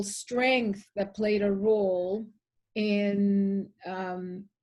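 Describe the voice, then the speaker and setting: Speaking in a Spanish accent, a woman has a fairly high pitch and a dark, mellow tone. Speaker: poet. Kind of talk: interview. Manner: halting.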